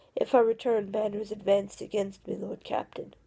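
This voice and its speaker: A woman puts on a raspy character voice at medium pitch. She moves at a fairly quick pace with monotone, flat intonation. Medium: read story. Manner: earnest, formal.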